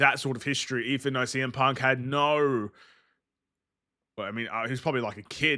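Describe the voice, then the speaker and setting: In an Australian accent, this bright, sharp voice keeps a fairly even intonation on a very clean recording with a silent background. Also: man. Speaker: gaming streamer. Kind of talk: gameplay livestream commentary. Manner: casual.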